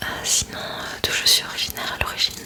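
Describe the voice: A woman whispering at a fast pace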